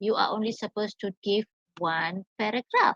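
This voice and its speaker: A woman's somewhat breathy, fairly high voice with ordinary pitch variation and a dry, close sound with no echo. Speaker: English teacher. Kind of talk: lecture. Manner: slow.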